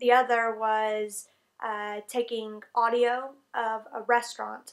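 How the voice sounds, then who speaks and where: In a Southern US accent, a woman speaks at a fairly high pitch with fairly even intonation. The recording is very clean, and the background is silent. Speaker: English teacher in Japan, vlogger. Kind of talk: casual vlog talk to camera.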